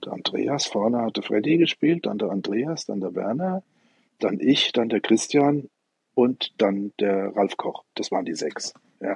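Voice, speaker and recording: Very wide pitch swings and vocal fry mark this voice at a fairly slow pace. The sound is dry and close with no echo. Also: man, medium pitch for a man. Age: 60s. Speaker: ninepin bowler and club president. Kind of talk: interview. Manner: repetitive, hesitant.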